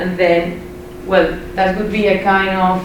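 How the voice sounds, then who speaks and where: A woman with a Spanish accent speaks at a fairly slow pace with monotone, flat intonation. Noticeable background noise and audible room echo surround her voice. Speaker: education researcher. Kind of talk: academic presentation. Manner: halting.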